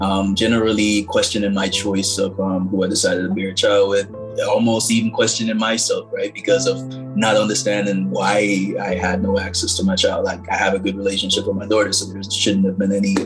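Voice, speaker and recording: With clear music behind him, a man speaks at a fairly quick pace in a fairly low pitch and a monotone, flat intonation. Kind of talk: interview answer. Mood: reflective, earnest. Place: home room. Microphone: phone near.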